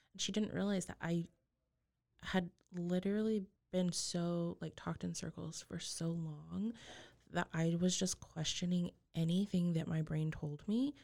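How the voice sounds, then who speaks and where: Her American accent carried in a dark, mellow tone, a woman with a fairly low pitch speaks at a fairly slow pace with fairly even intonation. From Texas Panhandle. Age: 20s. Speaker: abuse survivor sharing her story. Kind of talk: testimony.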